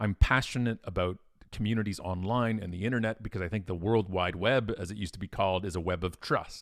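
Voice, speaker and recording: A man with a Canadian accent at a very fast pace, in a very clean recording with a silent background. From Ontario, Canada. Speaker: keynote speaker and author. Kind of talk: interview. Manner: loud; animated.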